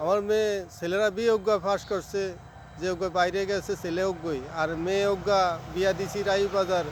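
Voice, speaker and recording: With fairly even intonation, a man talks in a high pitch. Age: old. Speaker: date palm sap collector. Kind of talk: casual interview.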